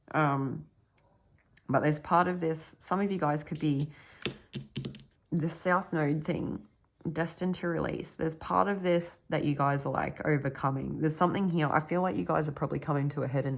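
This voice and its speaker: Talking at a fairly quick pace, a woman with a very deep, low pitch speaks in an Australian accent. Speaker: tarot reader. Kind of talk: intuitive tarot reading. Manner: halting, filler-heavy.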